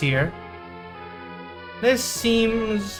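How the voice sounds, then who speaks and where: A man's voice with very wide pitch swings over music in the background. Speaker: let's play gamer. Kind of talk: game commentary narration. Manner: stumbling over words.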